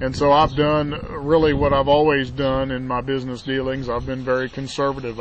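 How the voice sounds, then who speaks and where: Flat, monotone intonation against noticeable background noise. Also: man. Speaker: network marketing entrepreneur. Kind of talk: casual vlog monologue. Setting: outdoors in backyard.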